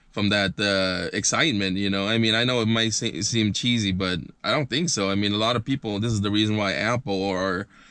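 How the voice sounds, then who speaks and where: Against a quiet background, a man speaks at a fairly quick pace in a fairly low pitch with a bright, sharp tone, very even loudness and ordinary pitch variation. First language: not English. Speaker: lifestyle vlogger. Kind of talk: unboxing video commentary. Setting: inside a car. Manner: halting, many fillers.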